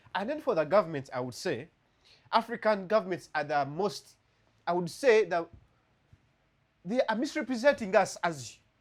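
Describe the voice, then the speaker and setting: With long, frequent pauses, a man talks at a moderate pace, his pitch high with very wide swings. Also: very clean recording, silent background. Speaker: lawyer and podcast co-host. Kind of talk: casual discussion. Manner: animated.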